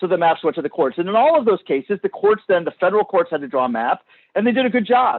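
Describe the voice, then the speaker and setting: A loud man's voice with very wide pitch swings. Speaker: subject matter expert on redistricting. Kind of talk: public hearing testimony. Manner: halting, repeats words.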